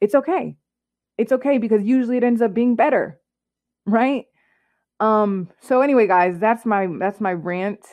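With an American accent, a woman talks at a moderate pace and with ordinary pitch variation, leaving long, frequent pauses. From US South, Clarksville, Tennessee. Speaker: podcast host and artist, design business owner. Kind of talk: solo podcast monologue. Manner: casual, many filler words.

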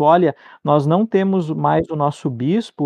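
Here is a man with a plain, everyday voice at a fairly slow pace. His pitch is fairly high, with ordinary variation. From southern Brazil (Rio Grande do Sul interior). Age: 20s. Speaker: Lutheran pastor. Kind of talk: theological discussion.

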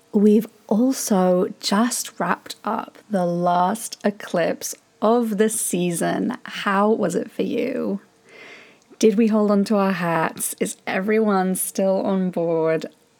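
The speaker goes at a very slow pace with ordinary pitch variation over noticeable background noise. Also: woman, medium pitch for a woman. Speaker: podcast host, tantric mentor. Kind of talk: casual interview chat.

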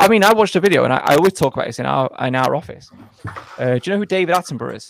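A high-pitched man with a northern English accent at a very fast pace, big swings in loudness, and a dry, close sound with no echo. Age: 40s. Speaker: YouTube content creator and author. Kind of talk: casual interview. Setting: video call.

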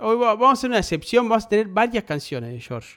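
On a very clean recording with a silent background, a man with an Argentine accent speaks with very wide pitch swings. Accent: Argentine Spanish (rioplatense voseo). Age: 30s. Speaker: podcast host. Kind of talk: casual chat.

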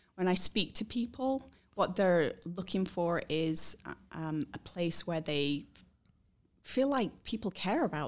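Speaking with a British accent and lively intonation, a woman talks at a fairly slow pace on a very clean recording with a silent background. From Scotland and England. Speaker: recruiter. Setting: office.

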